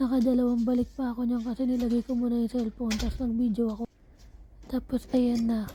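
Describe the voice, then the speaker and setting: Her intonation is monotone and flat. The woman's pitch is high. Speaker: vlogger. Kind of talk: casual vlog narration.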